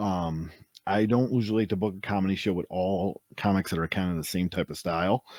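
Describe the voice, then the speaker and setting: Recorded very cleanly with a silent background and a dry, close sound with no echo, a man with an ordinary speaking voice and a fairly low pitch talks at a fairly quick pace with big swings in loudness. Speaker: wrestling announcer and stand-up comedian. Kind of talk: interview answer.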